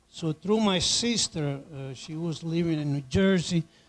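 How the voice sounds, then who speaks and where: In an Italian accent, a man talks at a fairly slow pace. His pitch sits fairly high and varies in an ordinary way. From Italy. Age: 80s+. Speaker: immigrant panelist. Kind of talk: personal testimony. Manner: halting.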